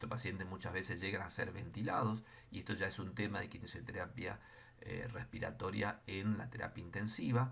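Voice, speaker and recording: A man with a fairly low pitch and vocal fry talks at a fairly quick pace with ordinary pitch variation. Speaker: physiotherapy lecturer. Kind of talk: lecture.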